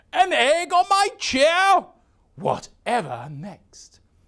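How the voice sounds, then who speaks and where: This put-on character voice sits at an extremely high pitch. The pace is very slow. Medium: read story.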